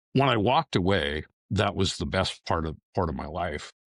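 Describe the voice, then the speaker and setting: A man talks at a moderate pace. The sound is dry and close with no echo, on a very clean recording with a silent background. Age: 60s. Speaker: retired police detective. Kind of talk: interview.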